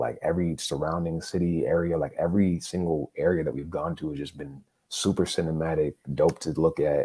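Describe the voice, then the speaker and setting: A man talks with an American accent. His pace is moderate. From United States. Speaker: sports podcast host. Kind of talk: casual chat. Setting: livestream podcast. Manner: halting, many fillers.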